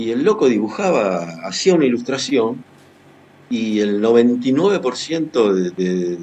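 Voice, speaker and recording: A man talks at medium pitch with a Rioplatense accent. His pitch swings very widely at a moderate pace. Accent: Argentine Spanish (rioplatense). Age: 60s. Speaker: writer and journalist. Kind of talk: interview. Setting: video call.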